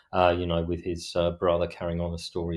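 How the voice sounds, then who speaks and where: A man speaks with a South London accent in a very deep, low pitch. The background is quiet. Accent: old South London. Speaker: author. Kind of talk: podcast interview. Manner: hardly opens mouth, stone-faced delivery; hesitant, many fillers.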